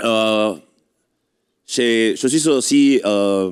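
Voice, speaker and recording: A man with a non-native accent speaks in a fairly low pitch with ordinary pitch variation. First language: not French (speaking French). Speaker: adventure racing association representative. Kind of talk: ceremony speech. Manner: halting.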